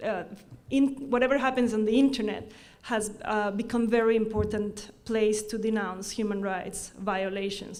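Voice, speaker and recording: A woman with an Ecuadorian accent, a fairly high pitch and ordinary pitch variation at a moderate pace, in audible room echo. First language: Spanish. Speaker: law professor. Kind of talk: conference talk. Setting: forum with audience. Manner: halting, frequent self-corrections.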